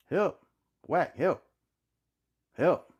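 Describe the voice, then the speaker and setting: A man shouting in a raspy, high-pitched, put-on character voice. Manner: yelling for help.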